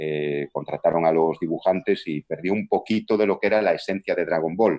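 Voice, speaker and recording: The sound is close and dry, without any echo. This man talks at a moderate pace. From Galicia, Spain (Vigo). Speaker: voice actor and dubbing director. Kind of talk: interview.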